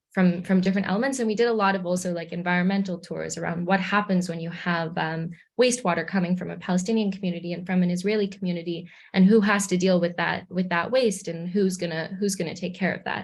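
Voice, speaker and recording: Speaking very fast with hardly any pauses, a woman with a Canadian accent sounds somewhat breathy, her medium-pitched voice fairly even in intonation on a very clean recording with a silent background. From Canada, Hamilton, Ontario. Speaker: graduate student. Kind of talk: presentation to community group.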